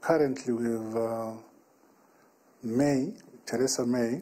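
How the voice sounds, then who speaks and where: A man with a Zimbabwean accent talks at a fairly slow pace in a medium pitch, his tone dark and mellow. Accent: Zimbabwean Shona. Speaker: head of state. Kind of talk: interview answer. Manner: hesitant, many filler sounds.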